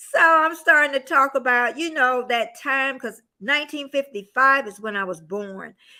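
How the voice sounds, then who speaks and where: In a very clean recording with a silent background, a woman with a high, bright, sharp voice projects at a moderate pace, with ordinary pitch variation, big swings in loudness and hardly any pauses. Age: 60s. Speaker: lifestyle vlogger. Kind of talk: casual live stream chat. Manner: chatty, informal.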